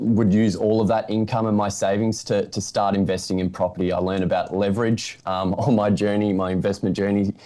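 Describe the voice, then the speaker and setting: This voice, in an Australian accent, runs at a fairly quick pace with monotone, flat intonation and very even loudness. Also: man. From regional Victoria, Australia. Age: 20s. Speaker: property investor. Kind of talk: interview.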